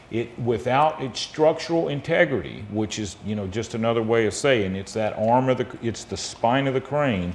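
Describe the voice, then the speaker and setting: A man with an American accent at a moderate pace and medium pitch, lively intonation, hardly any pauses, a plain, everyday voice. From US South, South Georgia. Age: 50s. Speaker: spine surgeon. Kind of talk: interview, explaining medical topics.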